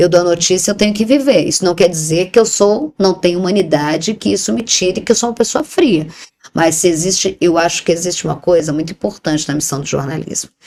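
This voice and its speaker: A woman speaks at a fairly quick pace. Her fairly low voice carries lively intonation. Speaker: TV journalist and presenter. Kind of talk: interview conversation. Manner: animated; talkative.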